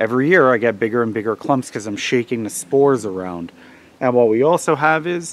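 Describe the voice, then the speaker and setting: A man speaks at a very fast pace with lively intonation. The sound is dry with no echo. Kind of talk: tutorial. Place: forest. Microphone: phone near.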